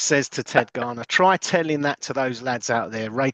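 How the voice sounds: Ordinary variation in pitch across a natural reading voice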